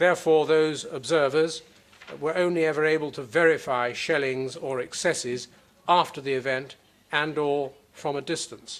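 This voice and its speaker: With an unremarkable speaking voice, a man talks at a moderate pace in a fairly high pitch and fairly even intonation. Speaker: prosecutor. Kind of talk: courtroom opening statement. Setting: courtroom. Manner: formal.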